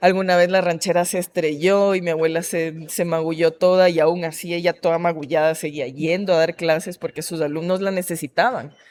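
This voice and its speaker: The speaker has a coastal Ecuadorian accent. Delivery is fairly quick, with fairly even intonation. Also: woman, fairly low pitch for a woman. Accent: Esmeraldas coastal Ecuadorian. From Ecuador, Esmeraldas. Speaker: artist and anti-racist activist. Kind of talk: interview conversation.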